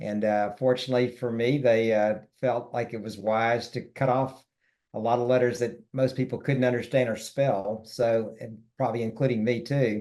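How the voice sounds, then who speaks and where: Against a quiet background, a man talks at a moderate pace and medium pitch. His tone is dark and mellow, his intonation monotone and flat. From US South, Memphis, Tennessee. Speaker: wealth management firm co-founder. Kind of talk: interview conversation.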